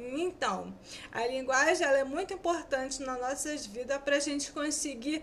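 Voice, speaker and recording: A woman talks at a fairly slow pace, high in pitch with ordinary pitch variation. Noticeable background noise and audible room echo surround her voice. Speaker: student teacher. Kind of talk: lecture. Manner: sometimes stumbling over words.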